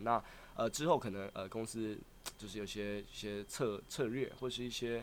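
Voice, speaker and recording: An ordinary speaking voice. The pace is moderate. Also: man. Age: 20s. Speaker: aspiring singer-dancer and rapper. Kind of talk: casual interview chat.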